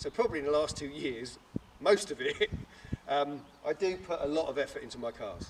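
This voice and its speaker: Over noticeable background noise, a man talks at a fairly quick pace with a fairly high pitch, ordinary pitch variation, big swings in loudness, and long, frequent pauses. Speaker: car enthusiast and YouTuber. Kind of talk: documentary interview.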